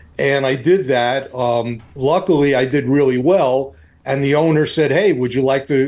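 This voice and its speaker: Moderate-paced speech in a New York accent, with ordinary pitch variation. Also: man. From New York, Queens. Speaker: fitness trainer and bodybuilder. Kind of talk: casual interview.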